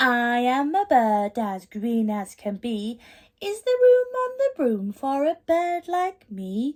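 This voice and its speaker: Putting on a character voice, a woman speaks high in pitch at a fairly slow pace. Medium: read story.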